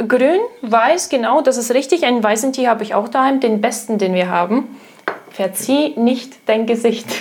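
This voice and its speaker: Against noticeable background noise, a woman with a slight Russian accent speaks at a high pitch with ordinary pitch variation. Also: moderate pace. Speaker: tea shop employee, retail trainee. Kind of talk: casual chat. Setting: home kitchen.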